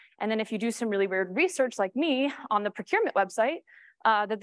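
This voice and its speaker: A woman talks at a very fast pace with an American accent. The background is quiet. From New York. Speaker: cybersecurity strategist; conference presenter. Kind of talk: conference talk. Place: stage.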